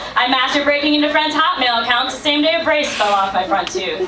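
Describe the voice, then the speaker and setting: A high-pitched woman's voice with an American accent, against noticeable background noise. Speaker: slam poet. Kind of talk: spoken word poetry performance. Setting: live venue.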